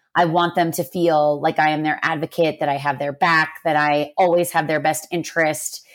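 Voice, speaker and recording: A woman with a normal speaking voice and an American accent talks at a moderate pace in a fairly low pitch with fairly even intonation, on a very clean recording with a silent background. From US. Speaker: podcast host, corporate people leader. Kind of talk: casual chat.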